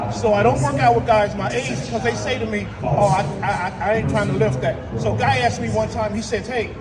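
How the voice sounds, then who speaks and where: Animated, fairly quick speech with very wide pitch swings, audible room echo and noticeable background noise. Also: man. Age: 60s. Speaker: health speaker. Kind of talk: motivational talk.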